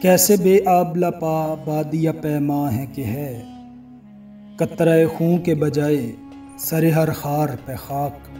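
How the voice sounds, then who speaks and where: A man at a fairly high pitch, with music in the background. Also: ordinary pitch variation. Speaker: voice-over artist. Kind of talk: poetry reading.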